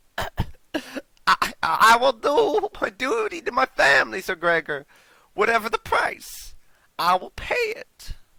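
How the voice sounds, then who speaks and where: Putting on a character voice, a man strains at an extremely high pitch. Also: fairly slow pace. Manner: strained.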